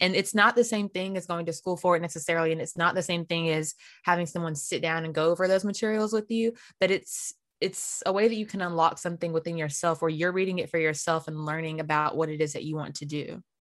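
Speaking at a very fast pace, a woman with an American accent uses fairly even intonation and a fairly low pitch. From North Carolina, US South. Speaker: composer and pageant winner. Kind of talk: interview.

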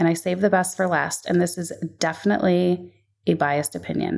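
On a very clean recording with a silent background, a woman speaks in a plain, everyday voice at medium pitch with ordinary pitch variation. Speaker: podcast host. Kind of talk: solo podcast episode, casual monologue. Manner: upbeat, chatty, laughs often.

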